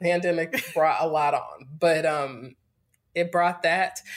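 A woman speaks in a normal speaking voice. Her pace is fairly slow. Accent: American. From North Carolina, US South (Greensboro). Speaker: yoga teacher and entrepreneur. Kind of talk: casual interview.

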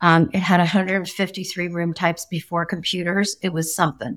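A woman's normal speaking voice, medium in pitch at a moderate pace, in a very clean recording with a silent background. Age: 60s. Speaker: interior design executive. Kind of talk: interview.

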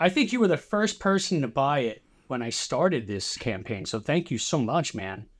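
With a New Jersey accent, a man speaks in very wide pitch swings. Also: fairly high pitch for a man, moderate pace, very clean recording, silent background. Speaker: musician. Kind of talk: casual chat.

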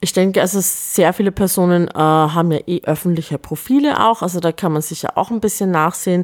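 A woman with a fairly low pitch talks at a fairly quick pace with hardly any pauses, using an unremarkable speaking voice and ordinary pitch variation. The sound is dry and close with no echo. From Upper Austria. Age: 40s. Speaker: film festival director and artist. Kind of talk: interview.

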